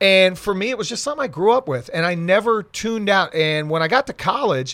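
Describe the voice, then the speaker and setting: An American-accented man talks at a very fast pace, his pitch swinging very widely. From South Florida (Miami). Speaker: sports radio reporter. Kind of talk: casual chat. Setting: studio.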